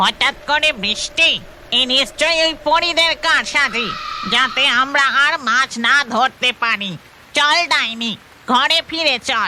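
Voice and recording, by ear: This cartoonish character voice is high-pitched and moves at a fairly slow pace.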